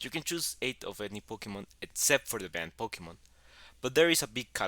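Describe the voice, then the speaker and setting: A man's medium-pitched, bright, sharp voice with a strong Mexican accent, very wide pitch swings and a very fast pace, on a very clean recording with a silent background and a dry, close sound with no echo. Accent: heavy Mexican Spanish. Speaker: YouTuber, gaming content creator. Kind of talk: explainer narration.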